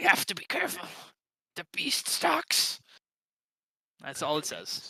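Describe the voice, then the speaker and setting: A raspy put-on character voice at middle pitch goes along at a fairly slow pace. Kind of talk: tabletop game narration. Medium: actual play. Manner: casual, laughing often.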